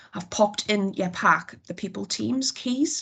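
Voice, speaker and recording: A woman speaks with a Geordie accent. Her voice is somewhat breathy and medium in pitch. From northern England, Newcastle area. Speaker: HR team member presenting to managers. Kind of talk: work presentation on video call. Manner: fast.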